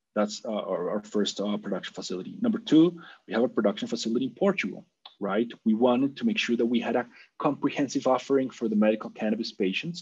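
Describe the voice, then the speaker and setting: Speaking very fast, a man with a Spanish accent uses a medium pitch and lively intonation. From Colombia. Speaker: business executive. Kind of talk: interview.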